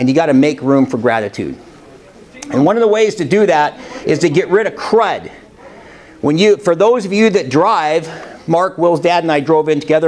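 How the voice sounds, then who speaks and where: A man's fairly high-pitched speech has lively intonation, with noticeable background noise in the recording. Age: 60s. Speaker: motivational speaker. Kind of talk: motivational talk. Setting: college classroom with audience, no microphone. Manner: loud.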